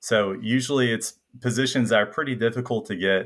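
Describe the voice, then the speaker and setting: A man talks at a moderate pace with a slight Southern US accent. The recording is very clean, with a silent background. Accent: slight Southern US twang. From Middle Tennessee. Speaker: medical student, incoming psychiatry resident. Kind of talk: casual interview chat.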